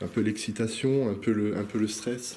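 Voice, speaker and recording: Audible room echo carries a man's fairly low, dark and mellow voice as he speaks at a fairly slow pace with fairly even intonation. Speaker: urban explorer vlogger. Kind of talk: vlog narration while exploring. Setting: indoors in abandoned hotel. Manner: halting, hesitant.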